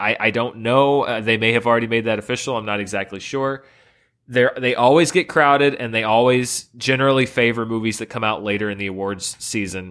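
In a very clean recording with a silent background, a man speaks fairly quickly in a normal speaking voice at medium pitch with fairly even intonation. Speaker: film critic. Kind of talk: casual chat.

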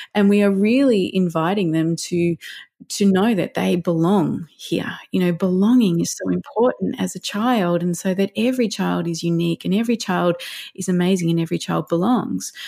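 With an Australian accent, a woman speaks at a moderate pace in a medium pitch, showing ordinary pitch variation and a dark, mellow tone. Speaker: parenting counsellor and educator. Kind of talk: podcast interview.

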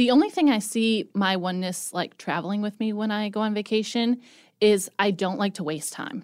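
A woman speaks at a moderate pace in a plain, everyday voice, her pitch medium with ordinary variation. The recording is very clean, with a silent background. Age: 30s. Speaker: podcast network manager. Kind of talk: casual chat.

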